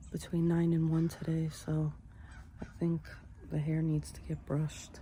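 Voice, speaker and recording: Her fairly low voice has a dark, mellow tone and a somewhat breathy quality, delivered in a flat monotone with an American accent. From New York. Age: 60s. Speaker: vlogger. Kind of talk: casual vlog monologue.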